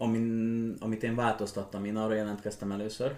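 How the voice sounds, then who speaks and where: Fairly low in pitch, a man talks at a fairly quick pace in monotone, flat intonation. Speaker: young riding stable owner and equestrian athlete. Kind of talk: casual chat. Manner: halting.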